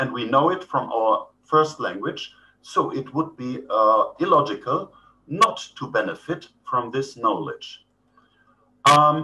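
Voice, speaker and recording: A man with a German accent, at a fairly slow pace. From Germany. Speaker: professor. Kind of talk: lecture. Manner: hesitant, many fillers.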